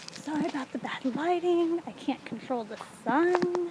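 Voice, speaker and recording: This woman's pitch shifts in an ordinary way, with noticeable background noise behind her. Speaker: vlogger giving a walking tour. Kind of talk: casual vlog narration. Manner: whispering.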